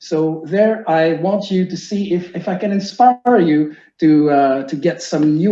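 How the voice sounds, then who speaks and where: The voice has a dark, mellow tone and ordinary pitch variation. It carries a French-Canadian accent. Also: man. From Quebec, Canada (Sherbrooke). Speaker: teacher. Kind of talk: lecture.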